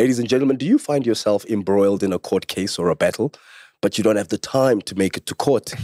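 A man talks at a very fast pace. The background is quiet and the sound is dry with no echo. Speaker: podcast host. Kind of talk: show intro and sponsor read. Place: studio. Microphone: studio mic.

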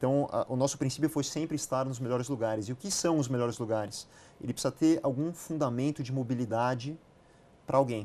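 Talking at a very fast pace, a man has a dark, mellow tone at medium pitch. His intonation stays fairly even. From Brazil, São Paulo. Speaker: real estate company CEO; guest. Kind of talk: interview. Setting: studio. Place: studio.

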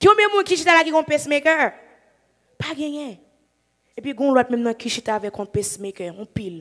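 With a Haitian accent, a high-pitched woman makes very wide pitch swings and big swings in loudness, leaving long, frequent pauses. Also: moderate pace, quiet background. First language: Haitian Creole (speaking French). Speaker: evangelist preacher. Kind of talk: sermon. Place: church. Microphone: handheld.

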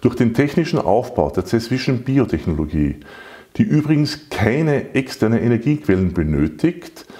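The voice swings very widely in pitch at a moderate pace against a quiet background. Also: man. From Salzburg, Austria. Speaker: patent holder and company director. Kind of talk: sales pitch. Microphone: lapel.

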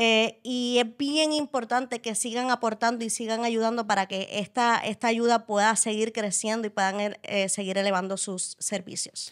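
An ordinary speaking voice from a woman, pitched fairly high, with fairly even intonation. She keeps a moderate pace with hardly any pauses against a quiet background. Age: 20s. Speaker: wheelchair user and interviewer; podcast guest. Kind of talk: casual interview. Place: studio. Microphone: studio mic.

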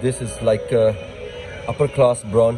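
A man is speaking. Faint music can be heard in the background. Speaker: shopping vlogger. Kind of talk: casual vlog chat. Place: shop. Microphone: phone near.

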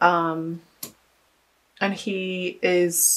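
The speaker is a woman with a fairly low pitch. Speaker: tarot reader. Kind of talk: tarot reading monologue. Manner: clears throat often.

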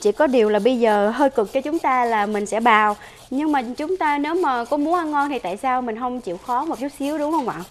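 A woman's high, lively voice at a fairly quick pace over faint background noise.

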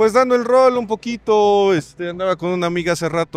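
The recording of this man's voice is dry, with no echo at all. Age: 30s. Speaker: punk passerby interviewed at a market; interviewee. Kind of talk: casual street interview. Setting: outdoors at a street market. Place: market. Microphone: handheld.

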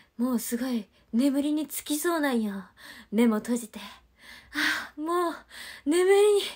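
Her voice pitched high, a woman talks at a fairly slow pace with long, frequent pauses and very wide pitch swings. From Japan, Ehime. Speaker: idol livestreamer. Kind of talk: livestream chat with viewers. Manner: animated.

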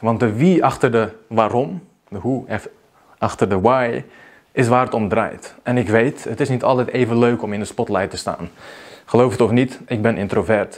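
The pitch varies in an ordinary way. The pace is moderate. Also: man. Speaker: video marketing coach. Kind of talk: vlog monologue. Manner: unscripted, spontaneous. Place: home room. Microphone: lapel.

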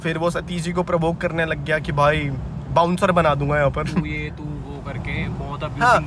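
The speech moves at a moderate pace with fairly even intonation, the sound dry with no echo but carrying noticeable background noise. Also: man. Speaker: vlogger. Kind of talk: casual vlog chat, storytelling. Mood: upset, recounting a fight. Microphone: phone near.

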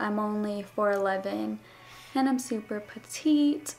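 Over light background noise, a woman with an American accent speaks at a fairly high pitch with ordinary pitch variation and a very slow pace. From US West, Las Vegas; Nevada. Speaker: beauty vlogger. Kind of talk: casual Q&A vlog. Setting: home. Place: home room. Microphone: camera far.

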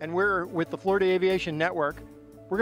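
Over music in the background, a man with a fairly high pitch talks at a fairly quick pace. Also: dry sound with no echo. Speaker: event promoter, broadcaster. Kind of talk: event promo read. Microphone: handheld.

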